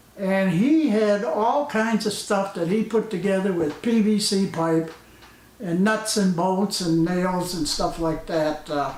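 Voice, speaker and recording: Audible room echo and noticeable background noise surround a voice at a fairly slow pace, with ordinary pitch variation and very even loudness. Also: man, high pitch for a man. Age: 70s. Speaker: retired hobbyist vlogger. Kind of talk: casual vlog commentary. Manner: hesitant, many filler uhs.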